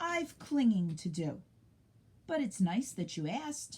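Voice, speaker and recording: Putting on a character voice, a woman speaks at a fairly slow pace in a medium pitch with very wide pitch swings. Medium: read story. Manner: hesitant, soft-spoken.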